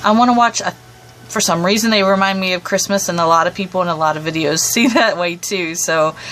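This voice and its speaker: A woman's medium-pitched voice at a fairly quick pace, with ordinary pitch variation and music in the background. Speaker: book video creator. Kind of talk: casual talk to camera. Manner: hesitant, many fillers.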